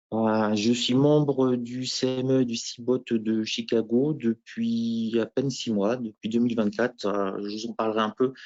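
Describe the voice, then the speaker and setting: Here is an unremarkable speaking voice from a man, medium in pitch. He talks at a fairly slow pace with fairly even intonation. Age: 50s. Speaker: professional futures trader, former teacher. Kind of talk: interview self-presentation at conference. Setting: trading conference.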